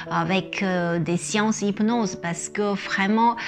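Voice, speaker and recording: A woman with medium pitch and ordinary pitch variation speaks at a very slow pace. Music plays in the background. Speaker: image consultant and hypnosis coach. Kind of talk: casual talk to camera, explanatory. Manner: hesitant, many filler words.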